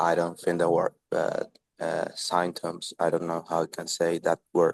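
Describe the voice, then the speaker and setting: A man speaks with a non-native accent. His voice is very deep and low. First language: not English. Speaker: English learner. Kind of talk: online group conversation class. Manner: halting.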